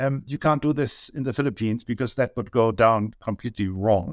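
Recorded very cleanly against a silent background, dry and close with no echo, a man with a German accent speaks fairly quickly at a medium pitch with ordinary pitch variation. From Germany. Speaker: business owner, data consultant. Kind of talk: interview. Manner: halting.

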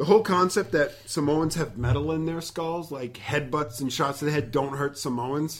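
This man has an ordinary speaking voice, pitched fairly high, delivered at a moderate pace with ordinary pitch variation. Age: 30s. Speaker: wrestling podcast host. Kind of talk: casual chat.

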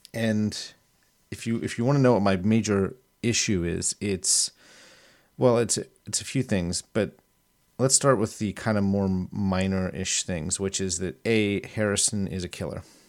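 This man has a plain, everyday voice, fairly low in pitch. He talks at a fairly slow pace with ordinary pitch variation. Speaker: listener voicemail sender. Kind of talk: voicemail feedback.

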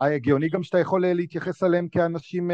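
Against a quiet background, a man's high-pitched voice sounds dry and close, with no echo. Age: 40s. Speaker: playwright and stage actor. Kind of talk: casual interview chat.

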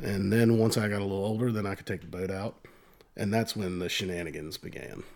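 With a Virginia accent, the speaker goes at a very fast pace with fairly even intonation. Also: man, fairly low pitch for a man. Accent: Virginia Southern. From US South, rural eastern Virginia (Northumberland County). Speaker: bank employee and amateur musician. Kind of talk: casual chat.

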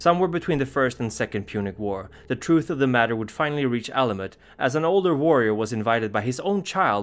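Lively intonation and a dramatic tone carry speech delivered at a fairly quick pace. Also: man. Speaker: lore narrator. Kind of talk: scripted horror lore narration, storytelling. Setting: video channel. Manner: measured, formal, dramatic.

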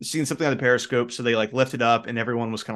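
Simply a natural reading voice

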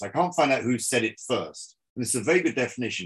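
A man's vocal-fry voice, fairly quick, with very wide pitch swings. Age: 60s. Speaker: business school lecturer and entrepreneur. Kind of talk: presentation lecture. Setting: video call.

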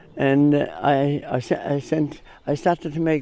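A man with a Clare accent speaks in a fairly high pitch and a dark, mellow tone. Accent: Clare Irish. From Ireland, County Clare. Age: 80s+. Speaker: hurley maker. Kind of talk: radio interview. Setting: outdoors.

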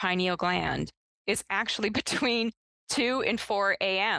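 This is a woman's voice at medium pitch. Her tone is bright and sharp. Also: dry, close sound with no echo. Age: 50s. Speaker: nutrition scientist. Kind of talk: interview.

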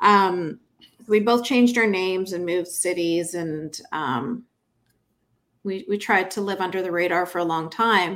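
A woman with a Canadian accent talks fairly slowly in a plain, everyday voice, at a medium pitch with ordinary pitch variation. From Canada. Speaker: author and activist. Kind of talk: interview.

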